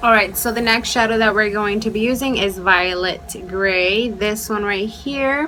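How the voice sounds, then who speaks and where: A woman with a slight Mexican accent at a fairly slow pace with hardly any pauses, amid audible room echo and noticeable background noise. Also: ordinary pitch variation. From Mexico, raised in US from age five. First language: Spanish. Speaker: beauty youtuber. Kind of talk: makeup tutorial; casual chat. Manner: casual, chatty.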